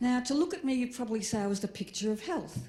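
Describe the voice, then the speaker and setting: Speaking with an Australian accent, a woman has a dark, mellow, somewhat breathy tone and lively intonation. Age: 60s. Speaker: comedian. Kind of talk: stand-up.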